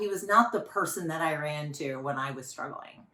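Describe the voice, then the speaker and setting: A woman's bright, sharp voice with lively intonation, moderate pace, and audible room echo. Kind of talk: faith talk. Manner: loud; animated.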